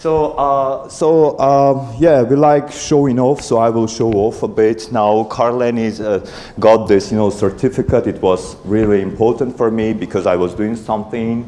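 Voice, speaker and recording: Over noticeable background noise and audible room echo, a man with an Armenian accent speaks at a medium pitch and a moderate pace, with ordinary pitch variation and hardly any pauses. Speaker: conference speaker, parent raising bilingual kids. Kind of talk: conference talk. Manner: halting, many fillers.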